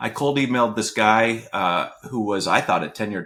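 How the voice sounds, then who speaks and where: A man speaks at a fairly quick pace in a fairly low pitch, on a very clean recording with a silent background. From Canada. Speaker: venture capitalist, former tech product head. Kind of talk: interview. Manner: frequent fillers and repetitions.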